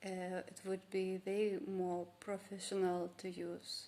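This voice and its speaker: A woman at medium pitch with a Lithuanian accent, dark and mellow in tone, with monotone, flat intonation. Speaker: vlogger. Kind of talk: casual vlog monologue. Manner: halting, many fillers and restarts.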